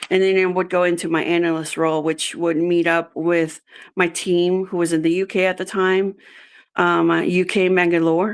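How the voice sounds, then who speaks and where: A woman with a Spanish accent speaks at a fairly low pitch and a moderate pace, in a monotone, flat delivery with very even loudness. The recording is very clean with a silent background. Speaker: job candidate, executive assistant. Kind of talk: interview. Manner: halting, many fillers.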